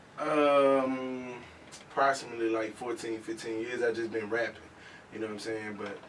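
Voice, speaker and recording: Audible room echo and noticeable background noise surround the voice. A man talks at medium pitch in a monotone, flat intonation. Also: moderate pace. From northwest Louisiana (Mansfield). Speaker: rapper. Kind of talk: interview. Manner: halting, many fillers.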